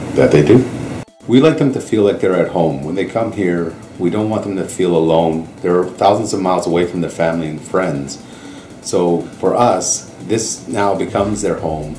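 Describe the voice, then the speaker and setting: With a Canadian accent, a man speaks at a very deep, low pitch with ordinary pitch variation, amid noticeable background noise and audible room echo. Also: moderate pace. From Canada. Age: 40s. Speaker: host family parent. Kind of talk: interview testimony.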